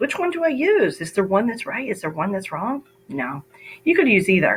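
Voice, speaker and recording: Vocal fry runs through this voice, which moves at a moderate pace with very wide pitch swings. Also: woman. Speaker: math teacher. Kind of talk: tutorial.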